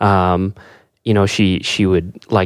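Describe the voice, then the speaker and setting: A man speaks in a very deep, low pitch. His intonation stays monotone and flat. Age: 20s. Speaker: media company co-worker, photographer. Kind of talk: casual chat.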